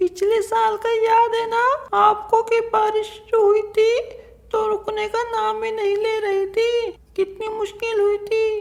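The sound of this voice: Using a cartoonish character voice, a woman speaks at an extremely high pitch and a moderate pace with monotone, flat intonation.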